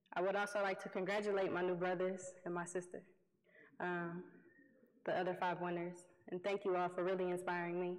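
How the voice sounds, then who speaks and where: A woman's medium-pitched voice moves at a fairly quick pace in a monotone, flat intonation, with audible room echo around it. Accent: American. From Detroit, US Midwest. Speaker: youth environmental activist and award winner. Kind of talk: award acceptance speech. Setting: stage with audience.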